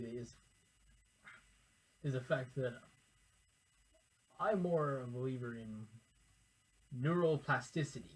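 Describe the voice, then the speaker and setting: Somewhat breathy, a man speaks at a fairly high pitch. His pitch variation is ordinary. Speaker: educational YouTuber. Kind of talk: informal lecture to camera. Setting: recording alone in front of a camera. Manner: halting, self-correcting.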